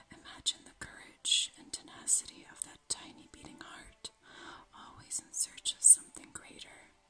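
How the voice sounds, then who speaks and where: A whisper at a moderate pace. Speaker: ASMR creator. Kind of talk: ASMR video. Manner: whispered. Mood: calm, gentle, soothing. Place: home room.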